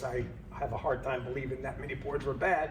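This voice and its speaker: Audible room echo and noticeable background noise surround a man's voice. He talks at a fairly quick pace with ordinary pitch variation. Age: 60s. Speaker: HVAC engineer and company trainer. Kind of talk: training lecture. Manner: casual, conversational.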